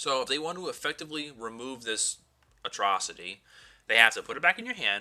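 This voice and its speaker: Speaking at a fairly quick pace, a man uses a fairly high, bright, sharp voice with very wide pitch swings. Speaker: card game YouTuber. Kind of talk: deck profile tutorial. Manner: animated; fast.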